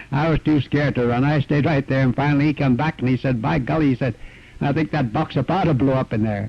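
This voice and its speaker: A man with a Canadian accent talks fairly quickly at a fairly high pitch. His pitch varies in an ordinary way, and there is noticeable background noise. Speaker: retired miner. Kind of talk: oral history interview.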